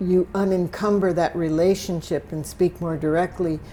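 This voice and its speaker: At a moderate pace, a woman speaks in a fairly low, flat monotone. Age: 70s. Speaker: artist. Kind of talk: interview. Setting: artist's studio.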